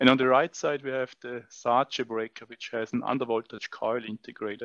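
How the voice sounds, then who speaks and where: Against a quiet background, a man's voice sounds dry, with no echo. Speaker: test equipment demonstrator. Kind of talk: tutorial. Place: hall. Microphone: headset.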